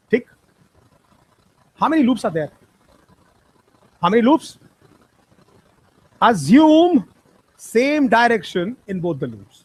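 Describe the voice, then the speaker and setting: Extremely high in pitch, a man speaks at a fairly slow pace with very wide pitch swings, big swings in loudness and long, frequent pauses. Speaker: physics teacher. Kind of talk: lecture.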